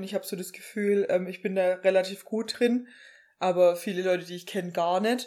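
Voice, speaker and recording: A woman's dark, mellow voice at medium pitch, fairly quick, with monotone, flat intonation. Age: 20s. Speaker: podcast co-host, pediatric nurse. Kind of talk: casual chat.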